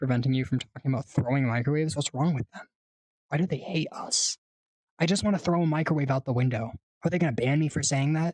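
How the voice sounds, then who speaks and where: A man with an American accent speaks very fast in a fairly high, somewhat breathy voice with ordinary pitch variation. The sound is dry and close, with no echo. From US West, rural cowboy region. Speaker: livestreamer. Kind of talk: casual chat. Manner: animated.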